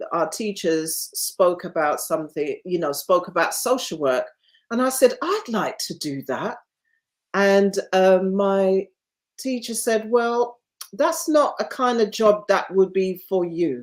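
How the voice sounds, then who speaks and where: A woman's medium-pitched voice in a London accent, with lively intonation and a very slow pace. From London (Hackney), England. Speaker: nurse. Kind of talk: interview.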